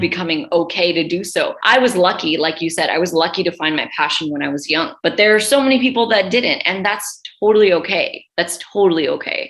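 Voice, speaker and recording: A woman with a New York accent, medium pitch and lively intonation, at a fairly quick pace with hardly any pauses. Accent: New York American. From New York City. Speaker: radio presenter. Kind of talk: interview answer.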